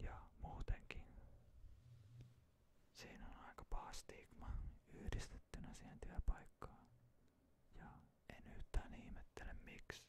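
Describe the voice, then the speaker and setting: Whispering at a very slow pace, a man leaves long, frequent pauses, with big swings in loudness. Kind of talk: ASMR ramble. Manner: whispered.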